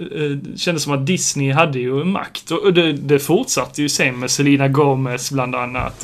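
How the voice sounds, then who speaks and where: A man speaks at a fairly slow pace in an ordinary speaking voice, his fairly high pitch held to a fairly even intonation. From southern Sweden, Skåne (Sjöbo). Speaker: podcast co-host. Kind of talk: casual chat.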